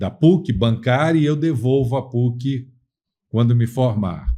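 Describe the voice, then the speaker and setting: A man talks at a very slow pace, his pitch medium with a dark, mellow tone. The background is quiet. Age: 60s. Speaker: lawyer. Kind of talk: interview.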